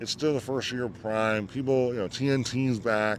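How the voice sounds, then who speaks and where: A man at a medium pitch and a fairly quick pace, in a plain, everyday voice. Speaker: motorsport podcast host. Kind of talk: casual podcast commentary.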